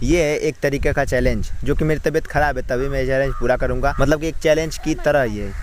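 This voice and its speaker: A man talks at a moderate pace with fairly even intonation and a fairly high pitch. Noticeable background noise is present. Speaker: village vlogger. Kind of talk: casual vlog narration. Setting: outdoors, farm.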